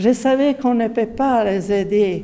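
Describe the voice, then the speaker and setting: Amid noticeable background noise and audible room echo, a woman speaks with fairly even intonation. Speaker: Franciscan religious sister. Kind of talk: testimony. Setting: parish meeting. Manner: halting.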